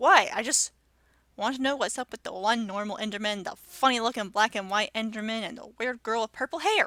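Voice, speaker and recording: A woman's put-on character voice, fairly high-pitched, delivered at a fairly quick pace. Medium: read story. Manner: blunt, insolent.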